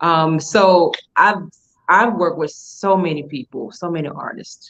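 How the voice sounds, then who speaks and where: A woman with a Southern US accent talks at a fairly low pitch and a fairly slow pace. Her pitch varies in an ordinary way, while her loudness swings widely. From Alabama, US South. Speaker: fashion week founder. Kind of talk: interview. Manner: many fillers.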